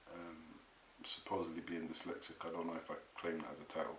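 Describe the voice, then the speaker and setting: Noticeable background noise is present throughout. A man talks amid audible room echo. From England. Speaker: author and talk show host. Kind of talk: casual interview chat.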